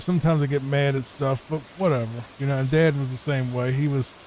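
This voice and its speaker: Soft-spoken and monotone, a man with a Virginia accent talks at a medium pitch and moderate pace over noticeable background noise. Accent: noticeable Southern (Virginia). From Virginia, US. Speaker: gaming streamer. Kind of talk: casual gameplay commentary. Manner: laid back, soft-spoken; calm, relaxing.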